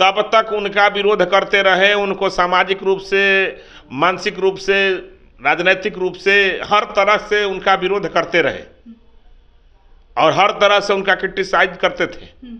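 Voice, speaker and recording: A man uses a raised, projected voice at a high pitch. His intonation stays monotone and flat. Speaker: political party spokesperson. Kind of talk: political statement to press.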